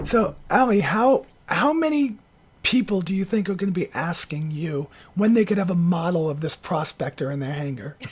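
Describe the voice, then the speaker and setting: With very wide pitch swings, a woman speaks at a moderate pace in a fairly low, somewhat breathy voice. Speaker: video podcast host. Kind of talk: casual chat. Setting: video call.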